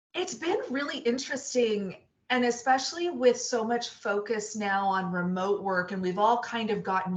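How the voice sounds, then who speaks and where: A woman with an animated tone amid noticeable background noise. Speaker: senior recruiter. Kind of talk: interview. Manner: loud.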